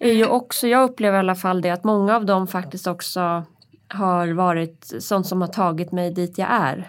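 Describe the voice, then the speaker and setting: A woman with an unremarkable speaking voice talks at a moderate pace and a medium pitch, with ordinary pitch variation. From Hälsingland, Sweden. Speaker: podcast co-host, press officer. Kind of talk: casual chat. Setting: studio.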